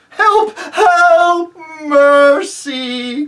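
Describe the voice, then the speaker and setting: In a put-on character voice, this man pitches himself extremely high. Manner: faint, weak, pleading.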